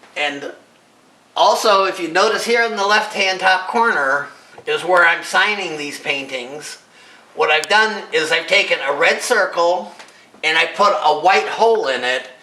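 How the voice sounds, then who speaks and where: There is noticeable background noise and audible room echo as a man speaks at a fairly slow pace with a high pitch and ordinary pitch variation. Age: 60s. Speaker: amateur artist and inventor. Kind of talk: casual presentation of own artwork. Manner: halting.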